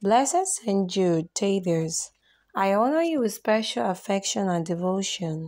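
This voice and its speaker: A woman has a plain, everyday voice at a medium pitch, with lively intonation. The recording is very clean, with a silent background. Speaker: prayer channel host. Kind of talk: fervent devotional prayer, read aloud in a pleading, reverent petition. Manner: earnest, solemn, imploring.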